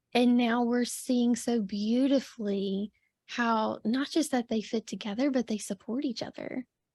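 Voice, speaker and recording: Soft-spoken and fairly slow, a woman speaks at a high pitch with a dark, mellow tone in a very clean recording with a silent background and a dry, close sound with no echo. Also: fairly even intonation. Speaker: podcast host. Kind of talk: casual interview chat.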